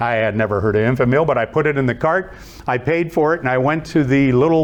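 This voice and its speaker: A man with an Ohio accent at a fairly quick pace, over noticeable background noise. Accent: Midwestern American (Ohio). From Youngstown, Ohio. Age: 70s. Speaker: motivational speaker and author. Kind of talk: inspirational talk with stories. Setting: stage with live audience.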